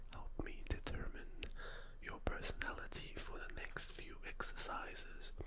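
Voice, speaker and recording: Loud background noise sits behind a soft-spoken man. He talks at a fairly slow pace. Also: ordinary pitch variation. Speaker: ASMR role-play host. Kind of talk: soft-spoken role-play. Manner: soft close-mic ASMR voice. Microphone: studio mic.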